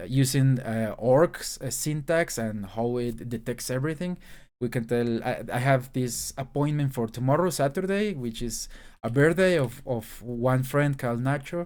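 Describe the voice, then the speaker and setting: The recording is very clean and the background silent as a man speaks with a Spanish accent. His pitch is medium, his pitch variation ordinary and his pace moderate. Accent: Spanish-accented English, noticeable. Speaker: YouTuber, aspiring programmer. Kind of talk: screen-share tech showcase. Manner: halting, many fillers and restarts.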